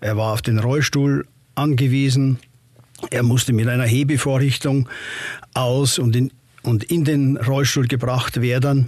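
A man with a medium pitch talks at a fairly slow pace in a monotone, flat intonation, with very even loudness and long, frequent pauses. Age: 60s. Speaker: retired judge. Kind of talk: interview. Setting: studio.

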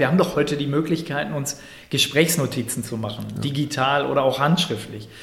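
A man talks at a very fast pace in a fairly high pitch with ordinary pitch variation. Noticeable background noise sits behind him. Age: 40s. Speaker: digital marketing agency owner. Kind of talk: interview.

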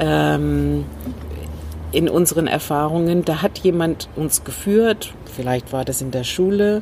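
A woman talks at a very slow pace in a very deep, low pitch, with noticeable background noise behind her. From Northern Ireland. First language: English (speaking German). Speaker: communication trainer and former manager. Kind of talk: interview. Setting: rooftop terrace outdoors.

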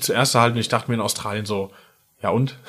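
Noticeable background noise sits behind a man speaking. His pitch is medium and his intonation fairly even. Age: 30s. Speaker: musician. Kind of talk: casual interview. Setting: recording studio.

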